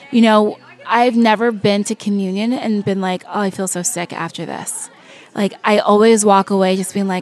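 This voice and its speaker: Monotone and flat, a woman's medium-pitched voice keeps a moderate pace. Noticeable background noise is present. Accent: American. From California. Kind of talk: interview.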